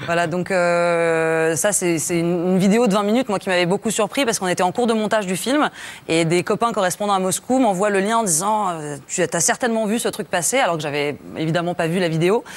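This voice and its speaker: With a Russian accent, a woman speaks at a fairly quick pace with hardly any pauses. Her loudness stays very even. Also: medium pitch for a woman, ordinary pitch variation. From France. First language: Russian (speaking French). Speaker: journalist, documentary maker. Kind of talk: tv studio interview. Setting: tv studio. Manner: halting, many hesitations.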